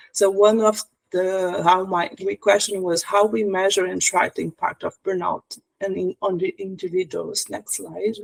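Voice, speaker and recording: A fairly slow pace marks this speech, delivered with a non-native accent. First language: not English. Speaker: tech bootcamp team member. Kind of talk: project presentation. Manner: halting.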